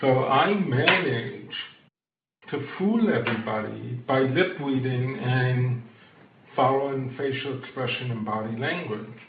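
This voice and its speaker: A man talks at a fairly slow pace with ordinary pitch variation. There is audible room echo. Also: medium pitch for a man. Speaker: entrepreneur, accessibility advocate, hard of hearing. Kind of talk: podcast interview. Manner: hesitant, many filler words.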